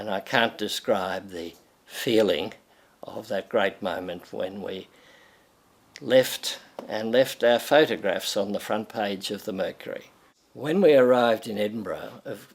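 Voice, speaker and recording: Speaking in an Australian accent, a man has a medium pitch and a fairly slow pace. His loudness swings widely. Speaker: retired pharmacy educator. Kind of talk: personal reminiscence interview. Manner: halting.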